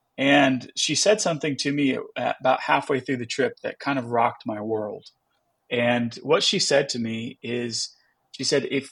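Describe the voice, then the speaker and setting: A plain, everyday voice talks at a fairly slow pace with ordinary pitch variation. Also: man. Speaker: pastor. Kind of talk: casual chat.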